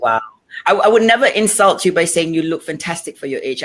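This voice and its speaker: Speaking at a fairly quick pace, a woman with a fairly low voice makes very wide pitch swings. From Singapore. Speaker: talk show host. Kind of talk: interview.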